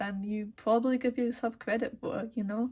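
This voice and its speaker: A woman talks at a fairly slow pace in a fairly high, somewhat breathy voice with fairly even intonation. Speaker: art student. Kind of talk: tutorial. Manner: casual with many fillers.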